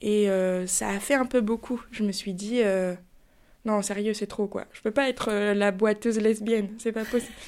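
A woman's fairly high voice at a moderate pace with ordinary pitch variation, in a very clean recording with a silent background. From Paris, France. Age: 30s. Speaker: podcast guest sharing personal story. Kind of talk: testimony. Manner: hesitant, with fillers.

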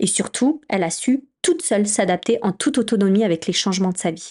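A woman's tone is dark and mellow, and her intonation is lively. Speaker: podcast host and entrepreneur. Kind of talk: solo podcast monologue. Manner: halting. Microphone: new microphone.

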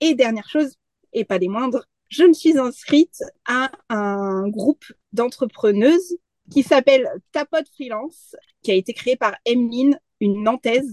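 With long, frequent pauses, a woman speaks at a fairly slow pace in a high pitch with lively intonation. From France. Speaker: freelance graphic designer and community manager. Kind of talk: casual interview.

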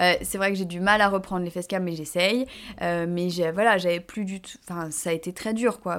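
In a plain, everyday voice, a woman speaks at a moderate pace in a medium pitch with fairly even intonation and big swings in loudness. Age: 30s. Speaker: influencer and fashion entrepreneur. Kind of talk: interview.

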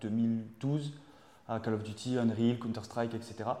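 Over noticeable background noise and audible room echo, a man speaks at a fairly slow pace with a medium pitch and fairly even intonation. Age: 30s. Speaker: civil servant working on esports projects. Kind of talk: interview. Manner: halting.

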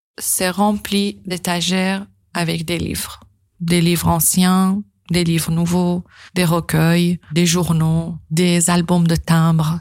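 A woman with a Persian accent speaks very slowly in a fairly low, somewhat breathy voice with monotone, flat intonation, on a very clean recording with a silent background. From northern Iran. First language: Persian (speaking French). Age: 30s. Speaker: interviewee sharing life story. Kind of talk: personal testimony.

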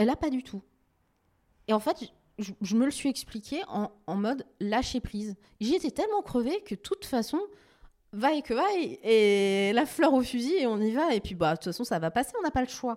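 A woman speaks in a high voice with very wide pitch swings, leaving long, frequent pauses. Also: moderate pace. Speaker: TV journalist and news editor. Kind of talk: interview conversation.

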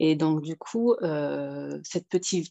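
A woman talks with a very deep, low pitch. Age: 30s. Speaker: single mother giving coaching testimony. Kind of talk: interview testimony. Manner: halting.

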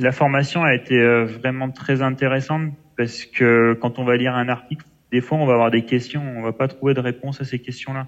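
At a fairly quick pace, a man speaks with a medium pitch in a monotone, flat intonation. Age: 20s. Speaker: logistics manager. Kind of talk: interview. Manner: hesitant, many fillers.

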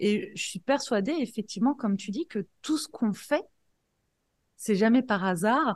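Against a quiet background, a woman speaks fairly slowly in a somewhat breathy, fairly high voice with lively intonation and long, frequent pauses. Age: 40s. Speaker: life coach and entrepreneur. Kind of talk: interview.

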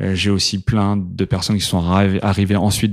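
This is a man's voice. Its pitch is very deep and low. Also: very clean recording, silent background. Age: 30s. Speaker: startup co-founder. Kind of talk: casual interview. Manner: hesitant with fillers.

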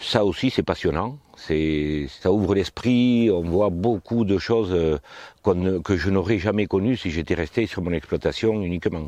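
Against a quiet background, a man with a very deep, low pitch and a dark, mellow tone speaks with ordinary pitch variation. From southwest France, Haute-Garonne near Toulouse. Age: 50s. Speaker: farmer. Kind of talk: interview. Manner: hesitant with frequent fillers.

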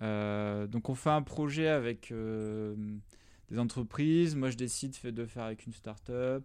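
The recording is very clean, with a silent background. A man speaks at a very slow pace with ordinary pitch variation. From southern France, rural Drôme. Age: 30s. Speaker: tech product manager. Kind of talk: interview.

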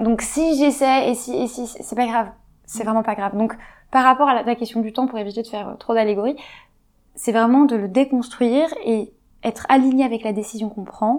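A woman talks at a moderate pace with fairly even intonation and a fairly high pitch, in a plain, everyday voice. The recording is very clean, with a silent background. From Paris, France. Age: 20s. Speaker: entrepreneur and sexologist. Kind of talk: interview conversation. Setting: at home.

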